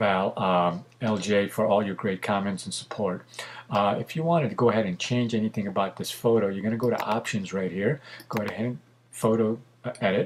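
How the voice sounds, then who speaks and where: The pace is fairly quick. Intonation stays fairly even. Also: man. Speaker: photographer and tutorial maker. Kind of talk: tutorial. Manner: fast; casual with many fillers.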